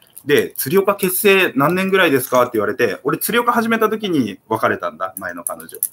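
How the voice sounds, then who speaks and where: Pausing hardly at all, a man talks at a moderate pace with big swings in loudness. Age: 30s. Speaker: YouTuber. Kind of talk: casual livestream chat. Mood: relaxed, reflective talk on love. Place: home room. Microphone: webcam.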